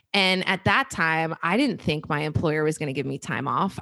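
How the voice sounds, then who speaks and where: Against a silent background on a very clean recording, a woman with an ordinary speaking voice talks at a fairly quick pace, her fairly low pitch carried by lively intonation. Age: 30s. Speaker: personal finance podcast host. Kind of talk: casual interview conversation.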